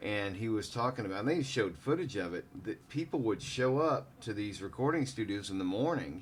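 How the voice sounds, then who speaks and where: Here a man talks at a fairly quick pace with hardly any pauses. He has an ordinary speaking voice, a medium pitch and lively intonation. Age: 40s. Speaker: podcast host. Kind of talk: casual chat.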